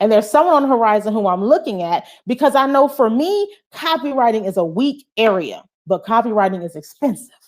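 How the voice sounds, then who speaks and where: A loud, animated woman's voice at a fairly quick pace with very wide pitch swings, on a very clean recording with a silent background. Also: fairly high pitch for a woman. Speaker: soul care coach and motivational speaker. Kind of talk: live-stream motivational talk.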